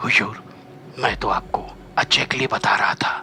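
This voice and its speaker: A man whispers in a put-on character voice. His pace is moderate. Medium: read story. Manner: polite, deferential.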